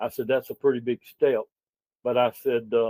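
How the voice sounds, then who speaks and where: A man with a Southern US accent. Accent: Southern US (Georgia). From Georgia, US. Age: 70s. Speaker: local political candidate, retired business owner. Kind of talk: interview. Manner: halting, with many fillers.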